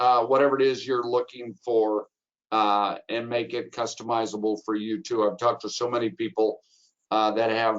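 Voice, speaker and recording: Pitch varies in an ordinary way while the talking keeps to a moderate speed. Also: man, medium pitch for a man. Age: 60s. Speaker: travel agent. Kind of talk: webinar presentation. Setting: webinar. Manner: animated.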